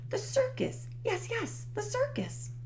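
A woman performs a put-on character voice at an extremely high pitch. She speaks at a slow pace with very wide pitch swings.

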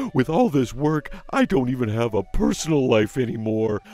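In a cartoonish character voice, a man sounds whiny at a medium pitch, his pitch swinging very widely over light background noise. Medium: puppet show. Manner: whiny, self-pitying, complaining; pleading, desperate.

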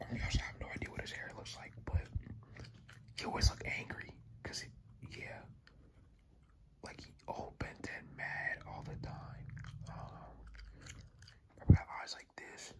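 Whispering at a fairly slow pace, the speaker leaves long, frequent pauses. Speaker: ASMR creator. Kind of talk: ASMR casual talk while drawing. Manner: whispered. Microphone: phone near.

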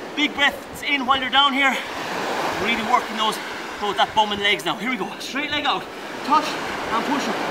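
A man keeps a moderate pace and ordinary pitch variation despite loud background noise. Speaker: fitness instructor. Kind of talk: workout coaching. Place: beach.

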